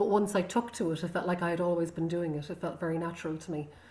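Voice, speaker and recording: With a Connemara accent, a woman talks at a medium pitch and with fairly even intonation. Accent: Irish, Connemara Irish-English. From Connemara, west of Ireland. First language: Irish. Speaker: singer and visual artist. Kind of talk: casual interview conversation. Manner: reflective, hesitant with fillers.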